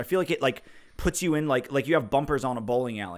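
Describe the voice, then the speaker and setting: A man with a New Jersey accent, fairly high-pitched, with very wide pitch swings and a very fast pace. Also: very clean recording, silent background. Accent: New Jersey accent, similar to Boston. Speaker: saxophonist and music YouTuber. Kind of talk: live-stream Q&A. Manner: casual, rambling with fillers.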